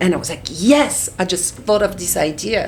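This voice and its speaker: A woman of medium pitch with a French accent, at a moderate pace, amid audible room echo and noticeable background noise. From France. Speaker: artist, designer and author. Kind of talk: interview. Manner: halting, frequent repetitions.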